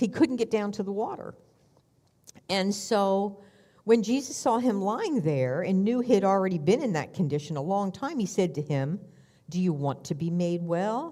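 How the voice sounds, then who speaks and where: A woman's dark, mellow tone with very wide pitch swings at a moderate pace. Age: 70s. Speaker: minister. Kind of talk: sermon. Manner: conversational.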